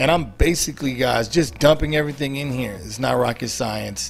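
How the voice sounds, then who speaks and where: The voice belongs to a man. Behind him, faint music plays. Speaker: home cooking video host. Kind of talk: cooking tutorial. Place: kitchen.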